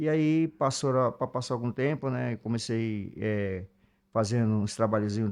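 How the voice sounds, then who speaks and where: A man talks at a moderate pace against a quiet background, his pitch fairly low. He has an unremarkable speaking voice. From Brazil, Alagoas (Northeast). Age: 50s. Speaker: musician and songwriter. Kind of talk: interview conversation.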